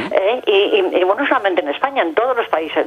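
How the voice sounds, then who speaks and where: A woman at a very fast pace with very wide pitch swings over noticeable background noise. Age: 80s+. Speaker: caller. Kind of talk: call-in to TV debate show. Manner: halting, hesitant.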